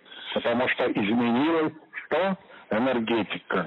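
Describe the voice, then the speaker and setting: The speaker is a man with a medium-pitched voice. Ordinary pitch variation runs through his speech. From Russia, Kursk. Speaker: interviewee, acquaintance of a psychic. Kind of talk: recorded interview.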